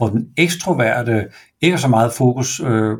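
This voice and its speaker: A somewhat breathy male voice of medium pitch at a fairly slow pace. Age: 50s. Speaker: enneagram expert and business owner. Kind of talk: podcast interview. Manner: halting, many hesitations.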